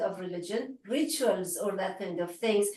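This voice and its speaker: A woman with an Iranian accent speaks at a fairly slow pace. The room echo is audible. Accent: Iranian (Persian) accent in English. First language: Farsi. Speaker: researcher and lecturer. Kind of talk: academic Q&A discussion. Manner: halting, with fillers.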